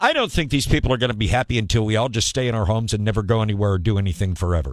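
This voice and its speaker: Very fast, fairly low-pitched man's voice with an American accent and ordinary pitch variation, on a very clean recording with a silent background. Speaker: morning radio show host. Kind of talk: radio morning show host patter.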